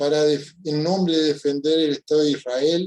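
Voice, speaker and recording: A man speaks with a fairly high pitch. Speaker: panelist, social scientist. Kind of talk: panel talk.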